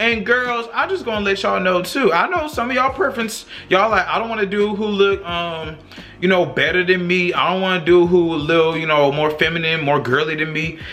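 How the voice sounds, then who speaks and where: A man's raised, projected, high-pitched voice at a fairly quick pace, animated in tone with lively intonation, amid audible room echo and noticeable background noise. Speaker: YouTuber discussing social issues. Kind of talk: casual vlog monologue. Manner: loud.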